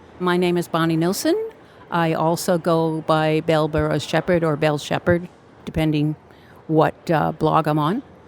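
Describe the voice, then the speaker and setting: A woman's very deep, low voice at a moderate pace, monotone and flat, with very even loudness over noticeable background noise. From New York City (Brooklyn). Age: 70s. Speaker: sex educator and retired nurse. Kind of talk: interview.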